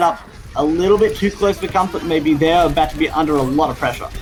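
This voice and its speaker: Over noticeable background noise, a high-pitched man talks fairly quickly with fairly even intonation. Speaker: esports caster. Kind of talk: live commentary. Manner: lowered voice, stealthy.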